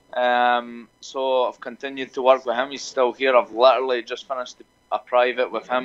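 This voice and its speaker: With a Scottish accent, a man speaks at a moderate pace and a medium pitch. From Scotland. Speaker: MMA fighter. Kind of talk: interview answer.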